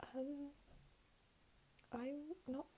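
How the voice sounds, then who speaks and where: The woman here is soft-spoken. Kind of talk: ASMR talking Q&A to camera.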